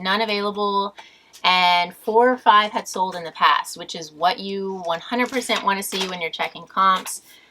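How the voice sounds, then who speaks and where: In a normal speaking voice, a woman talks at a moderate pace with medium pitch and fairly even intonation. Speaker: online reseller and thrift vlogger. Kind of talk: casual tutorial-style vlog.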